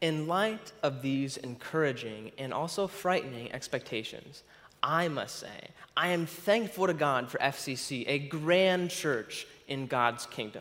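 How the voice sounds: At a fairly slow pace with few pauses, a man speaks in a medium pitch, his fairly bright tone carried by lively intonation.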